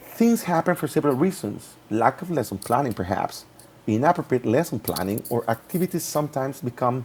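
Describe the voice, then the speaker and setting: Medium in pitch, this man speaks at a fairly quick pace and sounds somewhat breathy. His intonation is lively. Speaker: English teacher in training. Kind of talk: reflective presentation. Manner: fast; halting.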